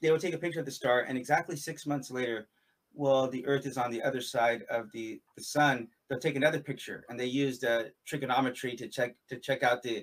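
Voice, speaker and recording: This man uses an unremarkable speaking voice at medium pitch, talking at a fairly quick pace with fairly even intonation. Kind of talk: interview in live-stream conversation. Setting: live stream video call.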